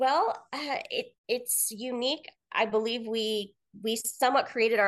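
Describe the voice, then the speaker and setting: At a fairly slow pace, a woman with an American accent speaks with ordinary pitch variation. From US Midwest, Kansas City, Missouri. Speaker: marketing professor and researcher. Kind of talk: interview.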